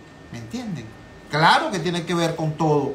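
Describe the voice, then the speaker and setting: An animated man with a Venezuelan accent, amid audible room echo and noticeable background noise. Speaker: political talk show host. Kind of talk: political commentary.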